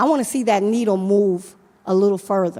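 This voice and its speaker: Speaking with a New York accent, a woman keeps a moderate pace and ordinary pitch variation. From Brooklyn, New York. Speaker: nonprofit leader. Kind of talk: conference panel talk.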